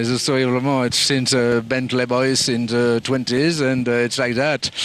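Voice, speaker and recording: Noticeable background noise sits behind a speaker with a French accent. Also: man. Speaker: event organiser. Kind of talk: interview. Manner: halting, many fillers.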